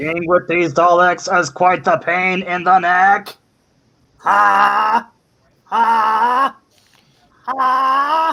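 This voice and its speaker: A put-on character voice sits at middle pitch. It moves at a very slow pace with long, frequent pauses. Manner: joking.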